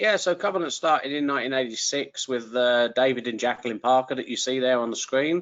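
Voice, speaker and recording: A man with an English accent at medium pitch. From England. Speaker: trucking company recruiter, former truck driver. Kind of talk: webinar interview. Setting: online webinar.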